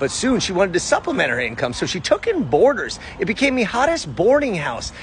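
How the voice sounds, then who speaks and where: Someone talks at a very fast pace with very wide pitch swings, the sound dry with no echo and light background noise behind it. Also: man. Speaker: history vlogger. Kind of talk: narrated history vlog. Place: street. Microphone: phone near.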